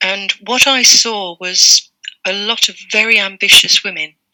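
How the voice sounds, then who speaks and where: A woman with an English accent speaks at a medium pitch, the sound dry and close with no echo. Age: 60s. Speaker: retired librarian. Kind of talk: interview.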